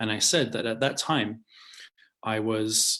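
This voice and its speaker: Speaking at a fairly slow pace, a man with an English accent uses a medium pitch. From London, England. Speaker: rabbi. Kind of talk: interview conversation. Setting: video call.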